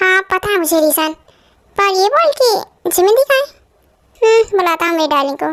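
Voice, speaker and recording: An extremely high, squeaky put-on character voice at a moderate pace. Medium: read story. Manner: cocky, teasing.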